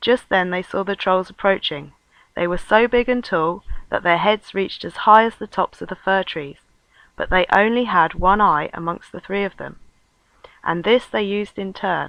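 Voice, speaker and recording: A soft-spoken woman's medium-pitched voice, bright and sharp in tone, at a moderate pace with long, frequent pauses, ordinary pitch variation and big swings in loudness, in a dry, close recording with no echo and a quiet background. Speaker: storyteller. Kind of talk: reading aloud.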